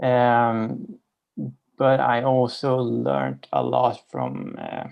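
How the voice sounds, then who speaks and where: This man talks at a very slow pace with a Swedish accent. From Sweden. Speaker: participant. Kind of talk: casual chat.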